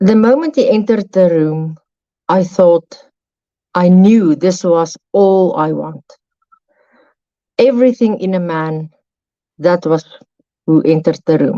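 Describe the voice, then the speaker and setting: Taking long, frequent pauses, a woman with a South African accent talks at a fairly slow pace in a dark, mellow tone, the sound dry and close with no echo. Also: fairly low pitch for a woman, ordinary pitch variation. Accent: Afrikaans South African English. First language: Afrikaans. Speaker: guest sharing her story. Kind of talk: testimony. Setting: live stream call at 3 a.m.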